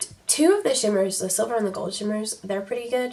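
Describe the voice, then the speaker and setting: Noticeable background noise runs under a woman whose fairly high pitch carries lively intonation. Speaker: beauty youtuber. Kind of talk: makeup tutorial chat.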